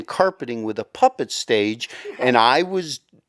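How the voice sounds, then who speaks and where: Speaking with an American accent, a man has a medium pitch and lively intonation. It's a plain, everyday voice, recorded dry and close with no echo. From US Midwest, Michigan. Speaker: voice-over actor and children's author. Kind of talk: interview.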